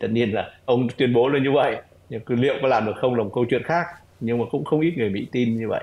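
Speaking at a very fast pace, a man keeps a medium pitch with ordinary pitch variation. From Vietnam. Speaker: retired diplomat; remote guest. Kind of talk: interview analysis. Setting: online call. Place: home room. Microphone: video call.

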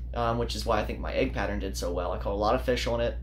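Over light background noise, a man is speaking. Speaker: fishing channel host. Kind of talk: casual vlog chat. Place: home room. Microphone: phone near.

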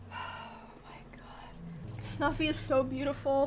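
A woman speaks at a very slow pace over light background noise. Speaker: live streamer. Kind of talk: casual stream chat. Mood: playful, joking. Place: home room.

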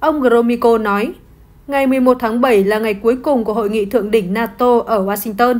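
A woman with a plain, everyday voice and a fairly high pitch speaks at a fairly quick pace with fairly even intonation. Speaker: news presenter. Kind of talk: news reading.

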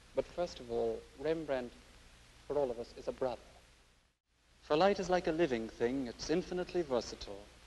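Speaking with an Irish accent, a man uses lively intonation. He leaves long, frequent pauses. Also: fairly high pitch for a man, fairly quick pace. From Ireland. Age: young. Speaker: art critic. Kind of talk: educational TV presentation.

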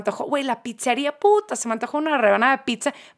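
A woman talks at a fairly quick pace in a high voice with ordinary pitch variation, in a very clean recording with a silent background. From Manchester, England. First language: English (speaking Spanish). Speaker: podcast guest. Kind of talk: casual chat. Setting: studio.

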